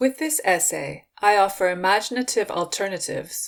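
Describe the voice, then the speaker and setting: Delivered at a fairly slow pace, the speech has lively intonation. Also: woman. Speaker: writer reading own essay. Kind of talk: reading aloud.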